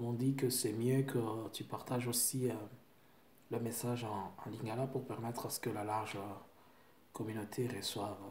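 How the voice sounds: Audible room echo surrounds a man whose fairly even intonation comes with a slightly mellow tone. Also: medium pitch for a man, moderate pace.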